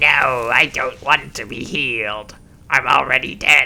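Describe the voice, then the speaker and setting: Putting on a character voice, a man speaks at a fairly slow pace. His pitch is medium. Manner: morbid, deadpan.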